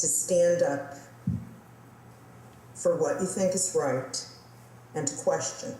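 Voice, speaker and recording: A woman speaks very slowly with lively intonation and long, frequent pauses. Audible room echo and noticeable background noise come through. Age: 60s. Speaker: interviewee sharing testimony. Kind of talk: testimony. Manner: halting, with fillers.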